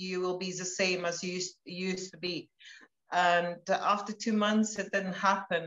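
Speaking at a fairly slow pace with monotone, flat intonation, a woman is heard with audible room echo against a quiet background. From Latvia. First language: Latvian. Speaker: wellness product promoter; interviewee. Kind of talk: casual chat. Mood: warm, personal, slightly emotional. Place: home room. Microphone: video call.

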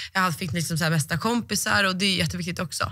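Woman with a bright, sharp tone. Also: quiet background. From Sweden. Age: 20s. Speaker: athlete; guest. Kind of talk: interview. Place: studio. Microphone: studio mic.

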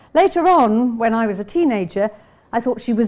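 An English accent at a fairly slow pace. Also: woman. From England. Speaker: novelist. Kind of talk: reading aloud. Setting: classroom with audience, streamed online. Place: classroom. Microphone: podium.

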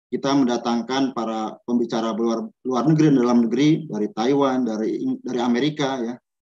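Against a quiet background, a man speaks at a fairly quick pace. His tone is dark and mellow, his intonation fairly even. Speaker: college head. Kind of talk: welcome speech. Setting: video call. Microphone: video call.

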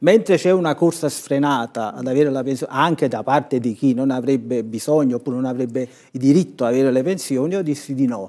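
Over a quiet background, a man rattles along at a very fast pace with hardly any pauses, his tone dark and mellow. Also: ordinary pitch variation. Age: 60s. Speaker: author and comedy writer; talk show guest. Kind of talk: studio TV talk show discussion. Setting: TV studio. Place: studio. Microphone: lapel.

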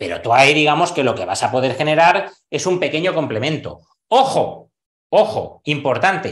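A man speaks at a moderate pace. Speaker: investment educator. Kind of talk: online course lesson. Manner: animated.

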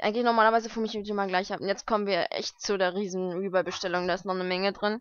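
A woman talks at a fast pace in a clear, smooth tone. Her pitch moves very little. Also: medium pitch for a woman.

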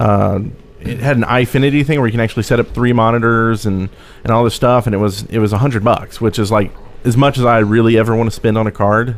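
At a very fast pace, the speaker keeps very even loudness and fairly even intonation. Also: man. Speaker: podcast co-host. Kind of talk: casual chat. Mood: relaxed, festive. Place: home room. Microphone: studio mic.

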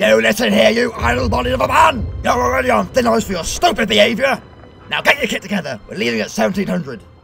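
A man speaks very fast in a high-pitched voice. Clear music plays in the background. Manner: barking, fierce.

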